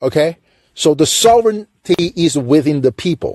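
The speaker has a Chinese accent and a dark, mellow tone, with lively intonation. The pace is moderate and the sound is dry and close, with no echo. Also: man. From China. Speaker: call-in show host. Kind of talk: political commentary monologue.

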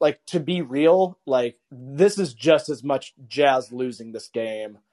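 A man's normal speaking voice, fairly high-pitched, with lively intonation and a dry, close sound free of echo. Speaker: podcast host. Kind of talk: casual chat. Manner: excitable.

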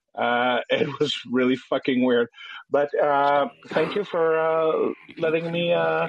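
With a Quebec French accent, a man speaks at a very slow pace and keeps his loudness very even. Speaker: caller. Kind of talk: casual chat. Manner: halting.

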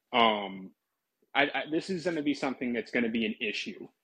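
Lively intonation moves through this man's medium-pitched voice. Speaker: caller. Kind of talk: call-in chat.

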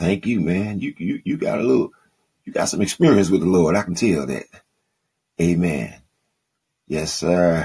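A man with a very deep, low pitch and a dark, mellow tone, touched with vocal fry. His intonation is lively at a moderate pace, broken by long, frequent pauses. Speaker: podcast host and preacher. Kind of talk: live call-in Bible teaching and preaching. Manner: warm, fervent, animated preacher cadence with call-and-response amens.

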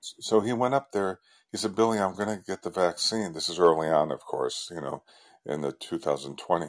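The speaker is a man with a very deep, low pitch. His pitch varies in an ordinary way. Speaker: caller. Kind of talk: call-in conversation. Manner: calm.

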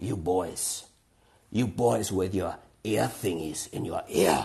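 A man growls in a put-on character voice at a very deep, low pitch. He speaks at a very slow pace. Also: fairly even intonation.

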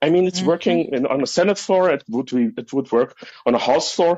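A man speaks with a German accent. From Germany. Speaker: caller, medical school graduate. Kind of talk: casual chat. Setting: call-in via app. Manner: halting.

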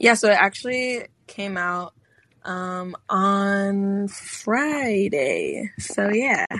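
A woman with a Chicago accent talks very slowly at medium pitch, with ordinary pitch variation. Her loudness swings widely. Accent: Chicago American. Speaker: singer-songwriter. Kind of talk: casual interview. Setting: phone call. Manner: hesitant, many fillers.

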